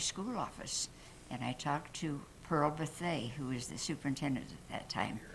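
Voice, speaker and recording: A woman with an American accent speaks at a very deep, low pitch, with vocal fry. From Arizona, Prescott. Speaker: longtime local resident. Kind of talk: oral history storytelling. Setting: room with live audience.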